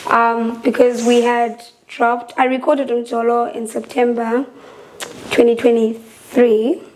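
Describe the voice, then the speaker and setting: Noticeable background noise sits behind a woman with a high voice. She talks at a fairly slow pace in a monotone, flat intonation. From South Africa, Eastern Cape (Gqeberha). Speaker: singer. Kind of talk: casual chat.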